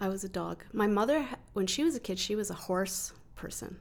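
This woman talks at a moderate pace, her medium pitch carried by lively intonation. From Calgary, Canada. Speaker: writer and literary researcher. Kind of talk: interview.

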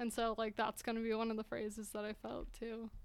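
This voice has an American accent. The pace is very fast. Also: woman. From Utah. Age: 20s. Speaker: artist. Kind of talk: interview.

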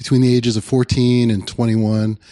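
The man's voice is medium in pitch with a dark, mellow tone. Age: 40s. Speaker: youth pastor. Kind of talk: casual chat.

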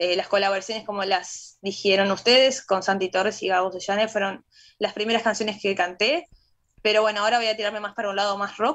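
Speaking fairly quickly, a woman has an unremarkable speaking voice at a medium pitch, with fairly even intonation. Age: 30s. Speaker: painter and singer. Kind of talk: radio interview.

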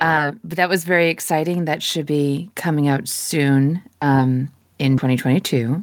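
Very deep, low female voice with ordinary pitch variation at a fairly slow pace, in a very clean recording with a silent background. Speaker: voice actor. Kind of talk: casual Q&A chat.

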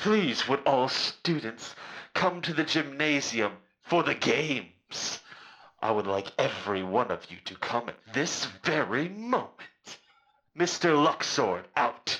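In a put-on character voice, a man with a fairly high pitch speaks at a fairly slow pace, swinging his pitch very widely. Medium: actual play.

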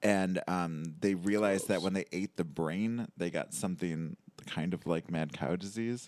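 On a very clean recording with a silent background, a man with a very deep, low pitch speaks at a fairly slow pace with ordinary pitch variation. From Michigan, Detroit suburbs. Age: 30s. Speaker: comedian. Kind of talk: casual chat.

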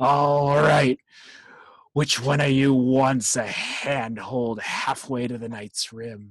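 The speaker puts on a character voice. The pace is very slow. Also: man, medium pitch for a man. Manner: rough, menacing, gleeful.

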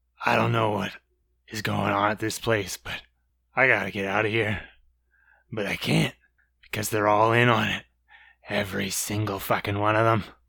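In a put-on character voice, a raspy man with a fairly low pitch talks at a moderate pace in a monotone, flat intonation, leaving long, frequent pauses, on a very clean recording with a silent background. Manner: paranoid, terrified, swearing.

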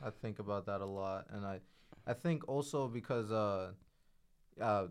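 A man's fairly low voice, an ordinary speaking voice, at a moderate pace against a quiet background. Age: 20s. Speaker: podcast guest. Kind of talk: casual chat.

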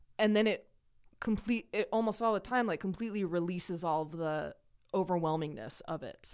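A woman with an ordinary speaking voice talks at a fairly quick pace and medium pitch with ordinary pitch variation, on a very clean recording with a silent background. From Idaho, US. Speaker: person in recovery from addiction. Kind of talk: casual interview conversation.

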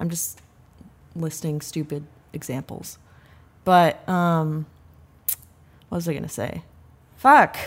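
A woman with a very deep, low pitch speaks at a very slow pace, with long, frequent pauses, big swings in loudness and ordinary pitch variation. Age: 20s. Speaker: podcast co-host. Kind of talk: casual chat. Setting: video call.

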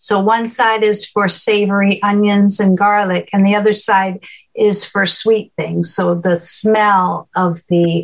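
A woman speaks in a normal speaking voice. Her pace is fairly slow and her intonation fairly even. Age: 60s. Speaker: cooking show host, visually impaired. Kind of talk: presentation Q&A on cooking.

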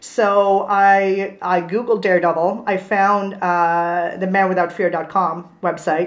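With a Swedish accent, a woman of medium pitch speaks at a very slow pace in a flat monotone, with hardly any pauses. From Sweden. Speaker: comics blogger. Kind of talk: casual chat. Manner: halting.

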